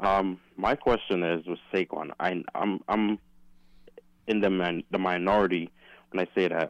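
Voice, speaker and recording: With an American accent and a very deep, low pitch, a man speaks at a fairly slow pace with long, frequent pauses, the sound dry and close with no echo. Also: fairly even intonation. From Philadelphia. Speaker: caller. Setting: phone call.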